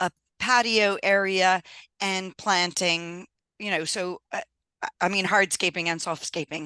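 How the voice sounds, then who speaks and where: Speaking in an American accent, a woman has a bright, sharp tone at medium pitch, going at a fairly slow pace with long, frequent pauses. The sound is dry and close with no echo, over a quiet background. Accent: Louisiana accent tinged by Scottish. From US South, Louisiana. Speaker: engineer and business owner. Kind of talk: podcast interview. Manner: animated.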